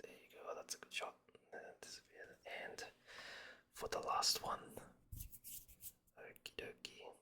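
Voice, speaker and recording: Whispering, a man talks at a fairly slow pace with long, frequent pauses and big swings in loudness. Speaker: pack-opening video creator. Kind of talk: ASMR unboxing commentary.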